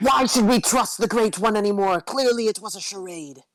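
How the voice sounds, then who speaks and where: Someone uses a put-on character voice, pitched fairly high and moving at a fairly quick pace. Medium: actual play. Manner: dramatic, emotional.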